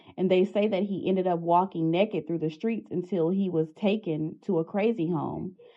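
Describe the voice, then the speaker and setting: With an Arkansas accent, a woman speaks at a moderate pace, her intonation fairly even and hardly any pauses in her speech. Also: medium pitch for a woman. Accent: Southern US (Arkansas). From Arkansas, USA. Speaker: hoodoo practitioner and educator. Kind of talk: educational talk to camera.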